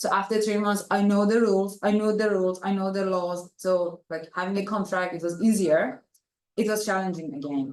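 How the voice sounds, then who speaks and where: A woman with a non-native accent, medium-pitched, at a moderate pace. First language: not English. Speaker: international student. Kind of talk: panel discussion.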